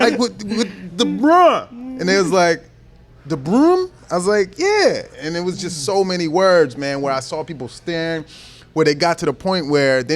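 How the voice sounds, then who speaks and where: A man with a high voice and a slight Baltimore accent, lively intonation, a moderate pace, and music in the background. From Baltimore, US East Coast. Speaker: comedian. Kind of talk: casual chat.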